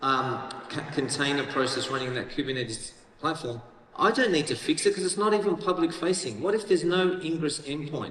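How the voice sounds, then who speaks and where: A man with an Australian accent talks at a fairly quick pace, his pitch fairly high and his intonation lively. Noticeable background noise and audible room echo are present. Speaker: tech company executive, keynote speaker. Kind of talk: conference keynote. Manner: casual, conversational.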